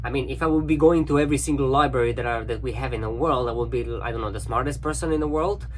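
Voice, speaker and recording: With music in the background and audible room echo, a man with a non-native accent talks very fast with hardly any pauses. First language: not English. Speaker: cruise ship crew member. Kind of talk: casual video diary monologue. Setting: cabin on a cruise ship.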